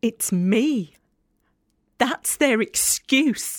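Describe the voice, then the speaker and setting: In a very clean recording with a silent background, a woman with a Yorkshire accent speaks in a weary tone with very wide pitch swings. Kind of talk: audio drama performance, dramatic monologue. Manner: wry, sardonic, weary, conversational.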